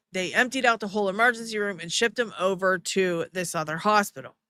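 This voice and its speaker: In a very clean recording with a silent background, a woman talks fairly quickly at medium pitch, with ordinary pitch variation and a bright, sharp tone. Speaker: live stream commentator. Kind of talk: casual live stream commentary.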